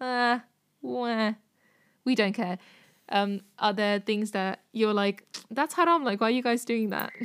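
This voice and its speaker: Captured in a very clean recording with a silent background, a woman uses a normal speaking voice, fairly high in pitch, at a moderate pace with ordinary pitch variation. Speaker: podcast co-host. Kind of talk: casual interview.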